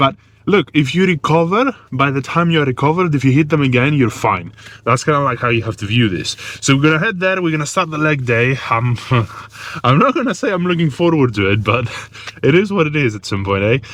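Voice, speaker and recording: Talking at a fairly quick pace, a man with a fairly high pitch and a non-native accent uses lively intonation. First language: not English. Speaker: fitness vlogger. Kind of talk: casual vlog talk. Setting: in a car, then at the gym.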